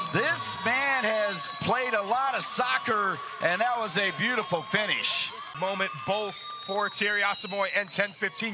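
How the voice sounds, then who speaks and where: A man's raised, projected voice, high for a man, animated and excited, at a fairly slow pace with very even loudness and ordinary pitch variation, amid noticeable background noise. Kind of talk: live sports commentary. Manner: animated play-by-play, excited, punchy calls on shots and goals.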